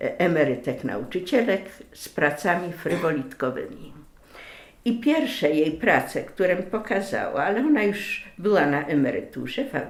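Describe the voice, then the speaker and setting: Amid noticeable background noise and audible room echo, a woman of medium pitch speaks at a moderate pace with very wide pitch swings. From Greater Poland (Wielkopolska), western Poland. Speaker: lace maker, craftswoman. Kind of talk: personal life story interview. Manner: hesitant, with many filler sounds.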